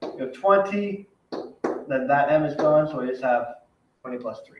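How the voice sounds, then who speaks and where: A man speaks with a fairly high pitch and ordinary pitch variation. His loudness swings widely. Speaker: math teacher. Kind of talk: recorded lesson for class. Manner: fast.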